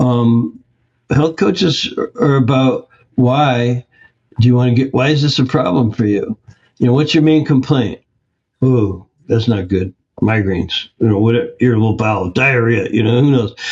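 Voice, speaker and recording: Speaking in an American accent at a medium pitch, a man talks at a moderate pace with ordinary pitch variation, a somewhat breathy sound, very even loudness and long, frequent pauses. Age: 70s. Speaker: health practitioner and course founder. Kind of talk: interview.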